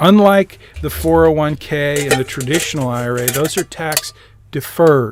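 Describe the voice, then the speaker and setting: A man speaks at a moderate pace with a fairly high pitch. His pitch variation is ordinary. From US Midwest (Lansing, Michigan). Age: 60s. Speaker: personal finance teacher. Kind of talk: lecture. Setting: live-streamed video call. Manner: casual, thinking aloud.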